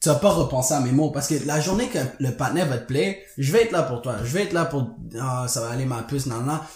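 Lively intonation and a very fast pace come through with audible room echo. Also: man, fairly high pitch for a man. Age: 20s. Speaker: podcast co-host. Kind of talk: casual chat.

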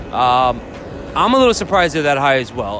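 A man with a fairly high pitch talks at a very fast pace. Noticeable background noise runs underneath. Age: 30s. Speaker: sports betting podcast host. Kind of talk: casual solo podcast talk. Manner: casual, rambling with fillers.

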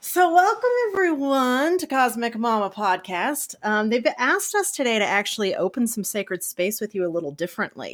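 A woman with an American accent, fairly high pitch and very wide pitch swings, at a moderate pace with hardly any pauses, in a very clean recording over a silent background. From US South. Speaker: podcast host. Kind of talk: guided meditation; casual chat.

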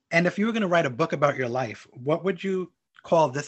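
A somewhat breathy man with a fairly high pitch speaks at a very fast pace. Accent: American. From Brooklyn, New York. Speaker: podcast host. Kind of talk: interview.

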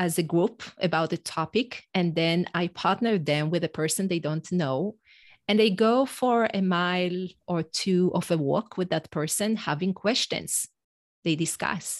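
A woman talks at a fairly slow pace and fairly low pitch with ordinary pitch variation, in a dry, close sound with no echo and a quiet background. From Israel. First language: Hebrew. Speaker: executive and leadership coach. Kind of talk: podcast interview.

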